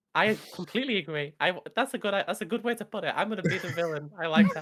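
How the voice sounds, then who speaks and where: A woman with a British accent races along at a very fast pace, her medium-pitched voice showing lively intonation. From rural England. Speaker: streamer. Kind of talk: casual chat.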